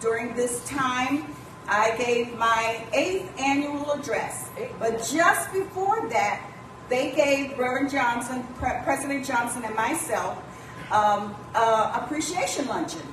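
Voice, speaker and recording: Amid noticeable background noise and audible room echo, a woman speaks very slowly at a high pitch with lively intonation. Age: old. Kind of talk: church announcements. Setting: church.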